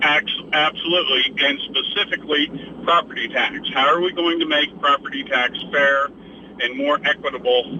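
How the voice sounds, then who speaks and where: A man speaks at a moderate pace with fairly high pitch and ordinary pitch variation. Noticeable background noise can be heard. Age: 80s+. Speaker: caller. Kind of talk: call-in comment. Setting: phone call.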